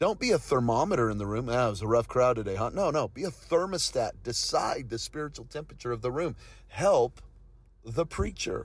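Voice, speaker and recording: Animated and passionate, the somewhat breathy voice moves at a fairly quick pace with lively intonation. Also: man, medium pitch for a man. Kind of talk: preacher in full flow, exhorting staff. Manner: emphatic, urgent, rhythmic repetition; animated, passionate, encouraging.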